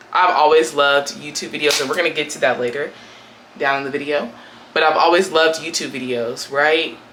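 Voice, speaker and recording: With an American accent, a woman speaks fairly quickly in a very deep, low pitch, with audible room echo and noticeable background noise. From US West Coast, Portland, Oregon. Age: 20s. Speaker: YouTuber. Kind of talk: casual chat. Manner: animated.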